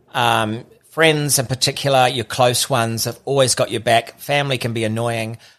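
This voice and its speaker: Here a man speaks in a medium pitch with a New Zealand accent. His intonation stays fairly even. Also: moderate pace. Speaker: podcaster. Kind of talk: casual chat. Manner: halting.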